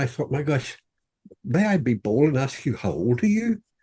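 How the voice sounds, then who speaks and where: With an Irish accent, a man speaks at a moderate pace, his fairly high voice dark, mellow and somewhat breathy. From Ireland. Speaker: author. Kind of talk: interview. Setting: podcast. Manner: halting, repeats words.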